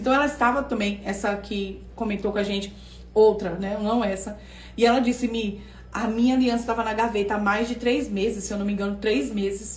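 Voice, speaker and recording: Ordinary pitch variation and a fairly quick pace come with audible room echo. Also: woman. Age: 40s. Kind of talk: online class livestream. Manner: animated.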